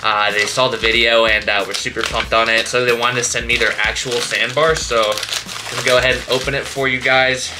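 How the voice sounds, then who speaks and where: A man speaks with monotone, flat intonation. There is noticeable background noise. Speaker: fitness vlogger. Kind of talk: casual vlog chat. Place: home room. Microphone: phone near.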